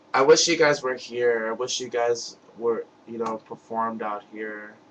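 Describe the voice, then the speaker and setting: A man with an American accent and a medium pitch speaks at a fairly slow pace with fairly even intonation. His loudness swings widely against noticeable background noise. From US Northeast (Brooklyn, New York). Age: 20s. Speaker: music fan vlogger. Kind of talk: webcam video message. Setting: webcam recording. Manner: halting, stuttering.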